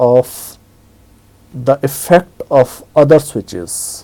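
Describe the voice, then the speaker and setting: Speaking at a very slow pace, a man with a medium pitch, ordinary pitch variation and a dark, mellow tone is heard in a dry, close sound with no echo. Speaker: Linux tutorial instructor. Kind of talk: screen-recorded software tutorial. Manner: casual, hesitant with fillers.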